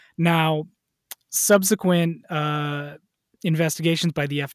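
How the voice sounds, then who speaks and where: On a very clean recording with a silent background, a man with an American accent and a normal speaking voice talks at a fairly high pitch with ordinary pitch variation. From Wisconsin, US Midwest. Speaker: writer and sports fan. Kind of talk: casual chat.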